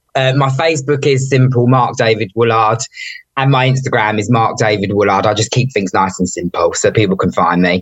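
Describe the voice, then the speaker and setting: A man speaks at a medium pitch and a fairly quick pace, his somewhat breathy voice keeping a very even loudness and ordinary pitch variation. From suburbs of London. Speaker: author. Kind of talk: interview.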